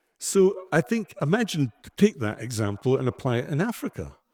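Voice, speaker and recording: A man's dark, mellow voice with a strong Scottish accent and very wide pitch swings, dry and close with no echo, in a very clean recording with a silent background. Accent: broad Scottish. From Scotland. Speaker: podcast co-host. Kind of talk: live panel discussion. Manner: animated.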